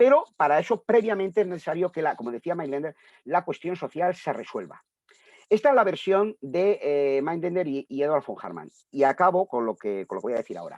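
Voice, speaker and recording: Speaking at a fairly quick pace, a man with a high pitch uses lively intonation in a dry, close sound with no echo. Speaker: translator and philosophy scholar. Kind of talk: book presentation talk. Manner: fast; halting, many fillers.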